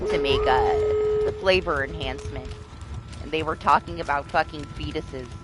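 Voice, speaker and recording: Noticeable background noise beneath speech at a moderate tempo. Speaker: gaming streamer. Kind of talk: casual chat. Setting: live stream. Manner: loud.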